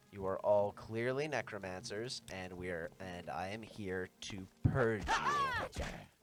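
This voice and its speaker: Music plays behind a man with a fairly low pitch and ordinary pitch variation. He speaks at a very slow pace. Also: big swings in loudness. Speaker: game streamer. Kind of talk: casual gameplay commentary.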